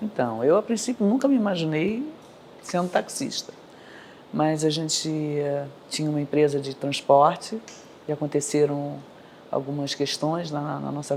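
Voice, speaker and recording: A woman's very deep, low voice with lively intonation at a moderate pace, broken by long, frequent pauses. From Rio de Janeiro, Brazil. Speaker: taxi driver. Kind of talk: interview.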